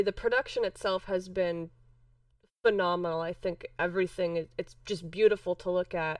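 A woman with a plain, everyday voice, medium in pitch, with an American accent and a moderate pace. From Chicago. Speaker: wrestling podcast co-host. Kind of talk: casual chat.

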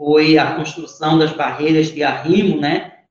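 A man talks in a fairly high pitch. His intonation is monotone and flat. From Brazil, Recife. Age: 40s. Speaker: left-wing party leader. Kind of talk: interview. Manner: hesitant, many fillers.

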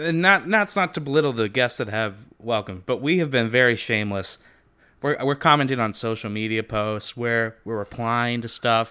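The man speaks with a bright, sharp tone and ordinary pitch variation. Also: medium pitch for a man, moderate pace. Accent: American. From California, US. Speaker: podcast co-host. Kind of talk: casual chat. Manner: animated.

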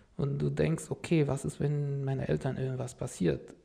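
Here a man speaks with an Arabic accent at a moderate pace. Noticeable background noise comes through. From Syria, Damascus. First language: Arabic (speaking German). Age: 30s. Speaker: refugee, car salesman. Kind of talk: interview, life story.

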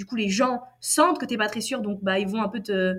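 In an ordinary speaking voice, a woman talks at a fairly quick pace with fairly high pitch and ordinary pitch variation. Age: 20s. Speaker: copywriter. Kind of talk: interview.

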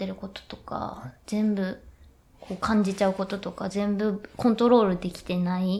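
This woman's medium-pitched voice is somewhat breathy, with monotone, flat intonation. She talks at a fairly slow pace. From Yokohama, Kanagawa, Japan. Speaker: contemporary dancer. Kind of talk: casual interview chat. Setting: hotel studio, live stream.

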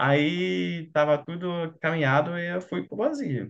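The speaker has a German accent. The pitch swings very widely. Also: man. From Germany. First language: German (speaking Portuguese). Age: 20s. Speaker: doctor. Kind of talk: casual chat.

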